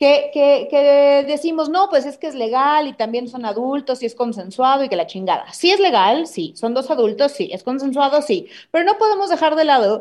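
With a Mexican accent, a woman speaks at a moderate pace in a high pitch, swinging very widely in pitch and hardly pausing. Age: 30s. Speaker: comedian. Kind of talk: casual chat.

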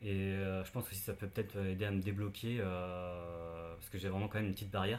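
Pitched fairly low, a man's voice holds a monotone, flat intonation. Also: fairly quick pace. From Brittany, France (near Saint-Malo). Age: 30s. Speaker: web developer. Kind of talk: interview, personal testimony. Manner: halting, many fillers.

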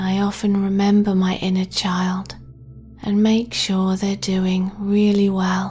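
A woman's soothing, gentle tone at a medium pitch, monotone and flat, delivered at a very slow pace over music in the background. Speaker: sleep meditation guide. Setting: studio recording. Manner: slow, hushed and soothing, drawn-out countdown; gentle, nurturing, reassuring tone.

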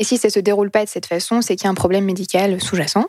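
A woman's voice with fairly even intonation. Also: very clean recording, silent background. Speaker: podcast co-host. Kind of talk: casual chat.

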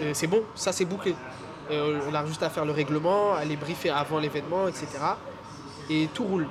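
Speaking at a moderate pace with fairly even intonation, the voice leaves long, frequent pauses against noticeable background noise. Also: man, fairly high pitch for a man. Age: 20s. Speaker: photographer and filmmaker. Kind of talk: casual chat.

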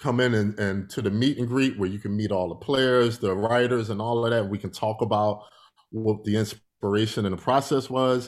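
A man with a plain, everyday voice speaks at a moderate pace with fairly even intonation and a fairly low pitch. The recording is very clean, with a silent background. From Philadelphia, US. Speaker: musician and entrepreneur. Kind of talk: interview.

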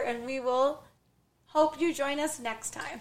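A woman's raised, projected voice, high in pitch, at a fairly slow pace with fairly even intonation. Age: 40s. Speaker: podcast co-host. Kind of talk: casual chat.

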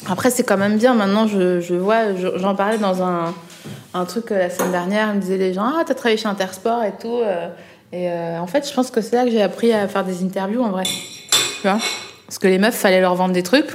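A woman with medium pitch and ordinary pitch variation talks over noticeable background noise. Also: moderate pace. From eastern France, Alsace. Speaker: journalist and comedian. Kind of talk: casual chat. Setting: restaurant. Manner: animated.

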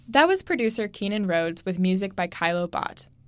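A woman talks in a plain, everyday voice at a medium pitch. Her intonation is fairly even and her pace fairly quick. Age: 20s. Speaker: student radio host. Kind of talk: scripted radio hosting.

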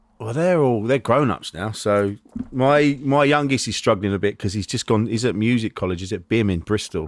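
A man talks fairly quickly, his intonation lively throughout. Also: medium pitch for a man. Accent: English. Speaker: podcast host and comedian. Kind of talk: casual chat. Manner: halting.

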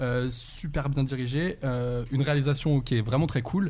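A man with a normal speaking voice, fairly high pitch and ordinary pitch variation. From Saint-Étienne, France. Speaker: actor and screenwriter. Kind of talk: casual chat.

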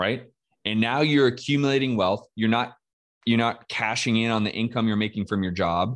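Against a quiet background, a man with an ordinary speaking voice talks at a moderate pace, with medium pitch and fairly even intonation. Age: 40s. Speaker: real estate investor. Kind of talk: casual interview. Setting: live video stream.

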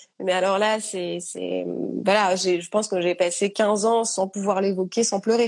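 A woman's medium-pitched voice at a fairly slow pace, with monotone, flat intonation. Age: 30s. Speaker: author sharing eating disorder experience. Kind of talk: testimony in live interview. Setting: Instagram live.

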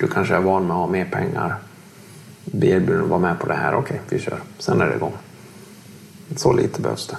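A man speaks at a fairly quick pace with long, frequent pauses, and noticeable background noise can be heard. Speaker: former criminal, social worker. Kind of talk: interview. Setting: hotel room.

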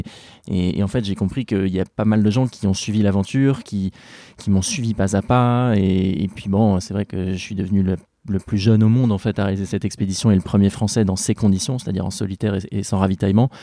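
On a very clean recording with a silent background, a man talks at a fairly quick pace in a dark, mellow tone with fairly even intonation. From Normandy, France. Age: 30s. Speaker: polar explorer. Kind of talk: interview storytelling. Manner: hesitant with many fillers and repetitions.

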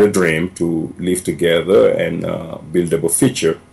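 Over noticeable background noise, a man with a very deep, low pitch speaks at a very slow pace. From Senegal. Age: 40s. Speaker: immigrant sharing life story. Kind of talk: interview storytelling.

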